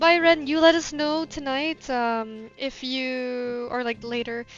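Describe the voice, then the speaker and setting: Music plays in the background as a woman speaks at a high pitch with ordinary pitch variation. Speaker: video game streamer. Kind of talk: live stream chat.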